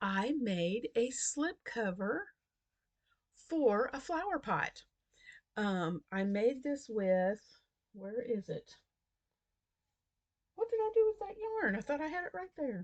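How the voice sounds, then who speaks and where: High-pitched woman's voice with very wide pitch swings, a very slow pace, long and frequent pauses, and a quiet background. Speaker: crochet video creator. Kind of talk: casual crafting vlog. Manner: quiet, hushed.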